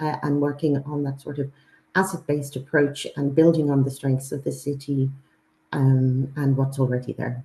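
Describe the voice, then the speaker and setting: At a moderate pace, a woman speaks with a very deep, low pitch and a dark, mellow tone, somewhat breathy and in a monotone, flat intonation. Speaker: university presenter. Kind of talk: webinar presentation. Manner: halting with many fillers.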